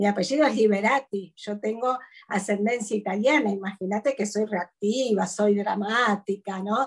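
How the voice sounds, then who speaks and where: With an Argentine accent, a woman speaks at a moderate pace and medium pitch, somewhat breathy and with fairly even intonation. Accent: Argentine Spanish (voseo). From Argentina, interior. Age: 50s. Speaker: psychologist and speaker. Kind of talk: interview conversation.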